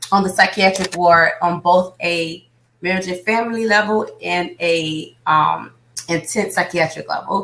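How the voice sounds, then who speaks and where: Speaking in a bright, sharp tone, a woman talks with an American accent. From Miami, Florida. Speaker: business coach. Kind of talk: interview. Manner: fast.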